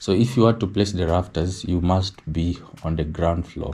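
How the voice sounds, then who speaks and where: At a moderate pace, a man talks with a very deep, low pitch, a dark, mellow tone, and a somewhat breathy quality. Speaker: architectural designer. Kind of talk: tutorial.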